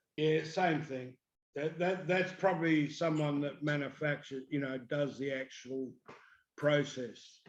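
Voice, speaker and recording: A man with an Australian accent speaks at a fairly slow pace. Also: fairly high pitch for a man, fairly even intonation. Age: 60s. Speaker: paramotor pilot and motor racing mechanic. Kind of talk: casual chat.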